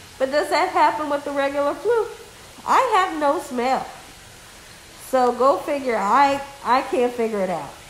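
Light background noise and audible room echo accompany a woman with a high pitch and lively intonation who leaves long, frequent pauses. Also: moderate pace. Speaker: cooking channel YouTuber. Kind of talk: casual vlog update. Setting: at home on couch. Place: home room. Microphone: phone near.

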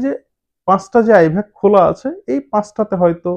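A man speaks with a high-pitched voice. The background is quiet. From Bangladesh. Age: 30s. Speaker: travel vlogger; news commentator vlogger. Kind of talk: vlog commentary. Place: studio. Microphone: lapel.

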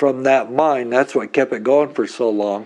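Lively intonation from a man, with a quiet background. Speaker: interviewee. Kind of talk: interview answer. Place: home room. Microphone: lapel.

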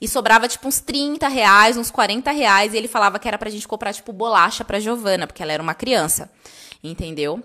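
A woman talks at a fairly quick pace with a fairly high pitch. Her intonation is lively, and her loudness swings widely. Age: 30s. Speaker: stationery business owner and online course creator; online course creator. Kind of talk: casual live stream storytelling. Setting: live video stream. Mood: emotional, personal storytelling. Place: home room.

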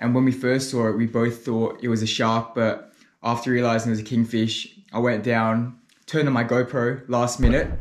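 A man speaks at a moderate pace, his loudness very even throughout. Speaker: spearfishing vlogger. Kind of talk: casual vlog chat. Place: home room.

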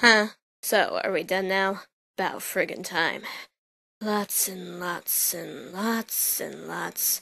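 A raspy, female-sounding put-on character voice speaks at a very slow pace with a medium pitch. The background is quiet. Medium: dub. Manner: blunt, sarcastic.

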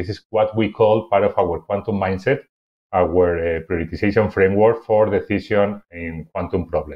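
The delivery keeps fairly even intonation at a moderate pace. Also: man, fairly low pitch for a man. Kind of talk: conference presentation. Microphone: webcam.

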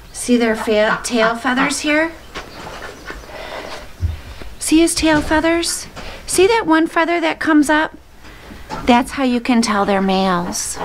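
Over light background noise, a woman speaks very slowly in a high voice. She leaves long, frequent pauses. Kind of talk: casual vlog chat. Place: farm machine. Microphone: camera far.

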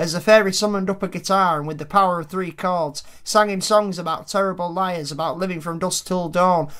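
You hear an unforced reading voice. The tone barely shifts, staying fairly even.

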